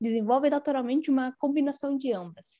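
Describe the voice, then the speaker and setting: Against a quiet background, a woman speaks at a high pitch with a dark, mellow tone, the sound dry and close with no echo. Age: 20s. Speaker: pharmacy student. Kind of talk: casual chat.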